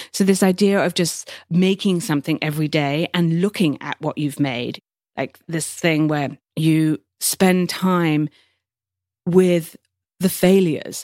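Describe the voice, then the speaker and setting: Here a woman speaks at a fairly slow pace with fairly low pitch and ordinary pitch variation. The sound is dry and close, with no echo. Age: 40s. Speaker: photographer and writer. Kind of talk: interview.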